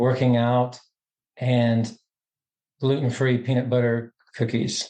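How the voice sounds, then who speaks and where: At a very slow pace, a man with a slight Southern US accent speaks in a monotone, flat intonation, his medium-pitched voice dark and mellow in tone. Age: middle-aged. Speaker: podcast guest, educator. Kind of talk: casual chat. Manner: halting.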